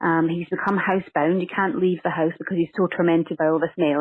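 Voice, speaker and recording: A woman with a Scottish accent speaks at a fairly quick pace, her fairly low voice held in fairly even intonation. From Scotland. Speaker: actress and screenwriter. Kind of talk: interview. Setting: phone call.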